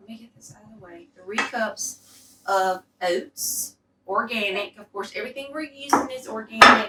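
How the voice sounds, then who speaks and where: Speaking with a Southern accent, a woman has a fairly high pitch and ordinary pitch variation. Her pace is moderate, and her loudness shifts a lot. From US South. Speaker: cooking show host. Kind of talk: cooking tutorial. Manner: animated.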